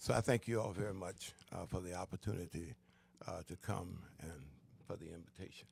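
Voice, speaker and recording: A man with a very deep, low voice talks at a fairly quick pace, somewhat breathy, with ordinary pitch variation, big swings in loudness, and long, frequent pauses. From US South, Florida (Daytona Beach). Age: 70s. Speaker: pastor and school board chair. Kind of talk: casual interview.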